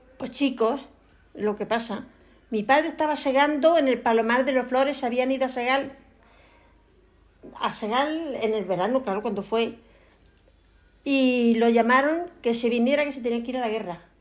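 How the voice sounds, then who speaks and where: At a moderate pace, a woman speaks in a high voice with long, frequent pauses. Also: ordinary pitch variation. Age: 80s+. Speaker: elderly villager. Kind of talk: testimony.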